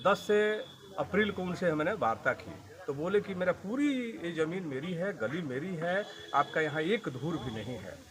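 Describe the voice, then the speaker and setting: Over noticeable background noise, a man with a high pitch speaks with very wide pitch swings. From Bihar, Saran district. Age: 60s. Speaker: landowner in a land dispute, retired lecturer and insurance agent. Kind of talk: interview testimony.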